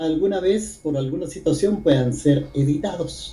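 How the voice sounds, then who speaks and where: In a room with audible echo, a man speaks at a fairly slow pace with a dark, mellow tone. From Guatemala. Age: 80s+. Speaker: poet and writer. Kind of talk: interview.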